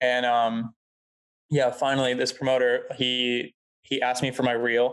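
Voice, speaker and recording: Monotone, flat intonation marks a man's medium-pitched voice, held at very even loudness. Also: fairly slow pace. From Southern California (Costa Mesa). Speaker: videographer. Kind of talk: casual interview chat. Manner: casual, filler-heavy.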